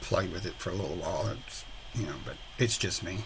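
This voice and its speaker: A man speaks with a South Texas accent. His voice sits at a medium pitch. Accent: Southern Texas. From Southern Texas. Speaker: resin and mixed media crafter. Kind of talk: voiceover tutorial. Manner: relaxed, hesitant with fillers.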